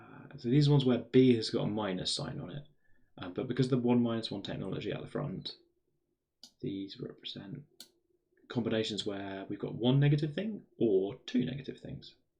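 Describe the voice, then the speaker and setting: A somewhat breathy, dark and mellow male voice with a British accent, medium pitch, fairly quick pace, ordinary pitch variation and big swings in loudness. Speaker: maths streamer. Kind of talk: live stream maths exploration. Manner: thinking aloud, hesitant.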